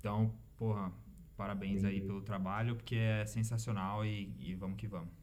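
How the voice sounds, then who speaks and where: A man at a moderate pace, fairly low in pitch and fairly even in intonation, with audible room echo. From Brazil, São Paulo. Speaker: engineer and immigrant in Canada. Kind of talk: casual chat.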